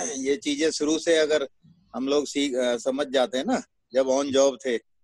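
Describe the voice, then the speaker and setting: Heard in a dry, close sound with no echo, a man has a plain, everyday voice, fairly high in pitch, with fairly even intonation. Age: 60s. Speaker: network marketing distributor. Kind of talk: interview testimony. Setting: video call.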